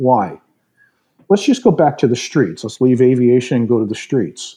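This man's medium-pitched voice has a dark, mellow tone and ordinary pitch variation. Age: 60s. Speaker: retired aerospace executive and advisor. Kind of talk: podcast interview.

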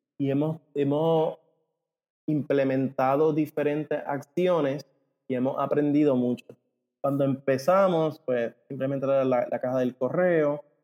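A man's plain, everyday voice, fairly high in pitch, at a fairly slow pace, with fairly even intonation and very even loudness. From Puerto Rico. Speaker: ecommerce company co-founder. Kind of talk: interview.

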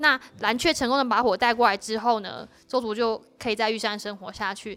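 At a moderate pace, a woman talks in an unremarkable speaking voice, fairly high in pitch with ordinary pitch variation. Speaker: school teacher and administrator. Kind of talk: interview. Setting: on location at a school.

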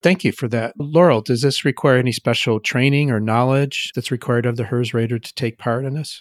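In an unremarkable speaking voice, a man talks at a fairly quick pace with hardly any pauses, medium pitch and ordinary pitch variation, captured in a very clean recording with a silent background and a dry, close sound with no echo. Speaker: podcast host. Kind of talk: interview, conversational.

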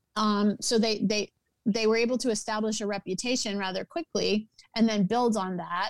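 With an American accent and a normal speaking voice, the speaker moves at a moderate pace with fairly even intonation in a dry, close sound with no echo. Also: woman, fairly high pitch for a woman. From US South, New Orleans. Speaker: entertainment producer and writer. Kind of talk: interview conversation.

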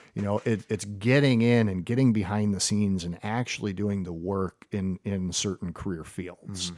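An unremarkable speaking voice: a man with an American accent, fairly low in pitch, at a moderate pace with hardly any pauses and fairly even intonation, in a very clean recording with a silent background. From US Midwest, Perrysburg, Ohio. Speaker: school administrator. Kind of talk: interview.

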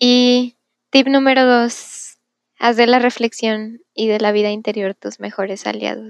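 A woman with a fairly high voice speaks at a fairly slow pace in a flat, monotone delivery. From Mexico, Monterrey. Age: 20s. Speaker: university student. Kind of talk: testimony.

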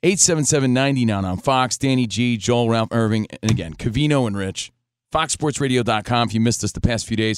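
A normal speaking voice from a man with an American accent, medium pitch, ordinary pitch variation and a moderate pace, in a very clean recording with a silent background. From New Jersey. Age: 40s. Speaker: sports radio host. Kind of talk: casual chat. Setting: studio.

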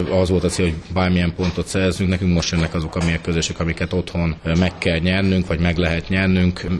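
A man speaks at a fairly quick pace in a very deep, low voice. His delivery is a flat monotone. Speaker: handball club manager and coach. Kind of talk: radio interview.

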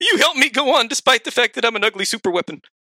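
Putting on a whiny character voice, a man talks at a very fast pace with an extremely high pitch. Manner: whiny, tearful.

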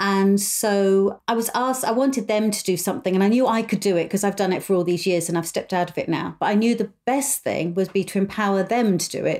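A woman with a British accent talks at medium pitch and a very fast pace, with hardly any pauses. The recording is very clean, with a silent background. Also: ordinary pitch variation. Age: 50s. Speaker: podcast host and mother of the host. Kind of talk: casual chat.

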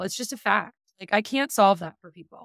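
In a dry, close recording with no echo, a woman talks at a fairly quick pace. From Canada. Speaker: email marketing strategist. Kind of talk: interview. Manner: loud.

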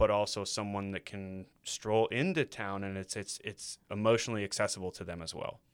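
A man with an American accent in an ordinary speaking voice, fairly low-pitched, talking at a fairly quick pace with hardly any pauses, fairly even intonation and big swings in loudness, on a very clean recording with a silent background. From Indiana, US Midwest. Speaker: muralist, former art teacher. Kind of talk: casual interview chat.

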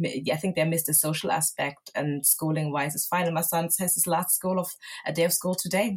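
A woman talks at a fairly quick pace with a fairly low pitch. Her intonation is fairly even, and she sounds somewhat breathy. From southern Germany, Nigerian parents. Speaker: homeware brand owner. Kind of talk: casual interview.

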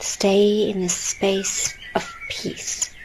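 Very slowly, a woman talks in a soothing, calm tone with ordinary pitch variation. Noticeable background noise sits behind her. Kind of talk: guided meditation. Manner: slow, soft-spoken, soothing; calm, gentle, with long pauses.

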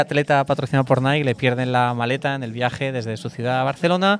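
A man at medium pitch, very fast, with ordinary pitch variation. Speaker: former sportswear brand director and author. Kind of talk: interview conversation. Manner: hesitant, with repeated words.

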